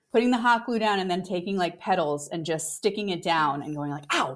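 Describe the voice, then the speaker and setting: The delivery is animated, with lively intonation and a moderate pace, on a very clean recording with a silent background. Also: woman. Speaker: podcast co-host. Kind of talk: casual chat. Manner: loud.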